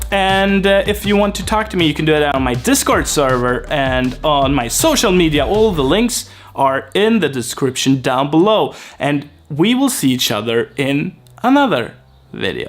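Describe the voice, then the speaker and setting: A man speaks with a Swedish accent. His voice is fairly high and moves in very wide pitch swings. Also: moderate pace. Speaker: language learning YouTuber. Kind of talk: casual vlog talk to camera. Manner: halting, with fillers and repeats.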